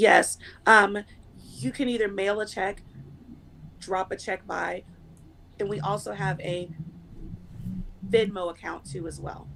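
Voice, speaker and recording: Speaking at a fairly slow pace with long, frequent pauses, a woman uses a medium pitch, ordinary pitch variation, vocal fry, a bright, sharp tone and big swings in loudness. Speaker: youth program director. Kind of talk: interview.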